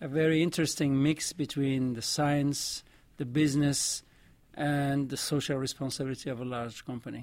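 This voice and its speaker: A man's fairly high, monotone, flat voice in a French accent, at a moderate pace, in a very clean recording with a silent background. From Morocco. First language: Arabic and French. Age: 60s. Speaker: vaccine scientist and adviser. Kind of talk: interview.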